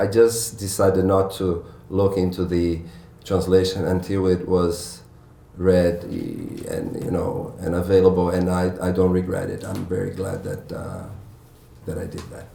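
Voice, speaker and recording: The speaker talks at a fairly slow pace in a monotone, flat intonation with a Portuguese accent. Audible room echo and noticeable background noise fill the recording. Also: man, very deep, low pitch for a man, big swings in loudness. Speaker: novelist. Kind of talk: author Q&A at bookstore event. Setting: bookstore event with audience. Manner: halting, many fillers and restarts.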